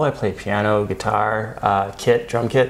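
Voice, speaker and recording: A man speaks with an American accent. Noticeable background noise can be heard behind him. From Phoenix, Arizona, USA. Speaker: actor and improv comedian. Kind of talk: casual interview answer.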